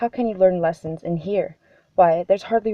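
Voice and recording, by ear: With ordinary pitch variation, the reading aloud unfolds in a natural voice.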